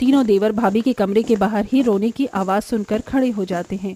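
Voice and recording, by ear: A woman's medium-pitched voice at a moderate pace, dark and mellow in tone, with ordinary pitch variation and a dry, close sound free of echo.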